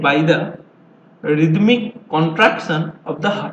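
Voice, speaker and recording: A man with an Indian accent at a fairly slow pace, ordinary pitch variation, and noticeable background noise. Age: 20s. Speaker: amateur educational video maker. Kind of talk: tutorial. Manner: halting.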